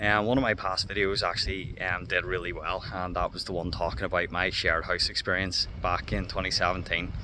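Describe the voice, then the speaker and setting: A man with a Northern Irish accent, very deep and low in pitch, at a very fast pace with hardly any pauses. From Northern Ireland. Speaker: former English teacher. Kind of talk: casual talk to camera. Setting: outdoors.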